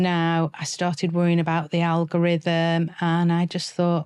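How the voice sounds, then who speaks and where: A woman with a fairly low pitch talks at a moderate pace. The recording is very clean with a silent background. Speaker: personal branding coach. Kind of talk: podcast interview. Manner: loud.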